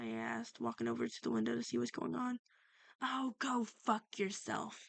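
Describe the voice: Simply plain reading aloud.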